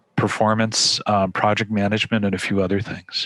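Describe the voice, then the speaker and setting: With a fairly low pitch, a man speaks in a monotone, flat way, the sound dry and close with no echo. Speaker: hiring manager in data science. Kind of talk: webinar presentation. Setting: online webinar. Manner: fast; halting, many fillers.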